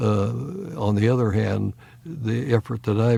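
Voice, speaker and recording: A man speaks fairly slowly in a fairly low, dark and mellow voice that is somewhat breathy. His pitch varies in an ordinary way. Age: 80s+. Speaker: retired physicist and former university president. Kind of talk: interview. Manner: halting, many fillers.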